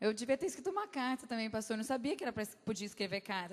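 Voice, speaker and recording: A woman with a high pitch. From Brazil, Campinas. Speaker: guest speaker at church. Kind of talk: sermon. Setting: church. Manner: halting.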